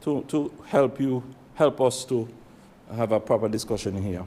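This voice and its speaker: Speaking with a Montserratian accent, a man goes at a fairly slow pace with ordinary pitch variation. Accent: Montserratian Caribbean English. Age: 60s. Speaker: legislator. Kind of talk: parliamentary debate speech. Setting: legislative chamber.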